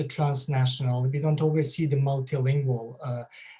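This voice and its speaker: A man speaks in a fairly high pitch with a Bosnian accent and ordinary pitch variation. His tone is dark and mellow, and somewhat breathy. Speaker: author and associate professor. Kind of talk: lecture. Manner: halting, many fillers.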